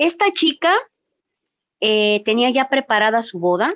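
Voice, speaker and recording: Over a quiet background, a woman talks at a fairly slow pace with very wide pitch swings. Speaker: YouTuber, live-stream co-host. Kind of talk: casual live-stream gossip chat. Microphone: video call.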